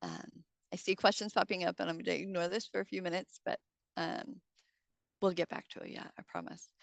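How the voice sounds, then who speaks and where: A woman talks at a fairly quick pace but leaves long, frequent pauses, her loudness swinging widely. The sound is dry and close, with no echo. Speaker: unemployment insurance presenter. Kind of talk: informational presentation. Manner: fast.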